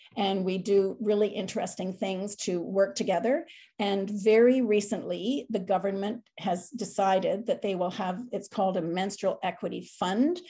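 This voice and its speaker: A woman's somewhat breathy, dark and mellow voice with a Canadian accent, medium pitch, fairly even intonation, a moderate pace and hardly any pauses, against a quiet background. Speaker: charity advocacy coordinator. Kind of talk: guest talk at club meeting.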